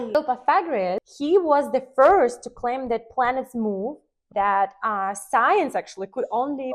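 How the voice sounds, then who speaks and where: A woman speaks in a Russian accent at a fairly slow pace. Her voice is high, with lively intonation. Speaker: podcast host and numerologist. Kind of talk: casual interview chat. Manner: halting.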